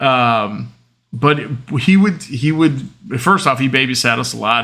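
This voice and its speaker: A man speaks loudly at a moderate pace. His tone is bright and sharp on a very clean recording with a silent background. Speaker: podcast host. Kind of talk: casual monologue.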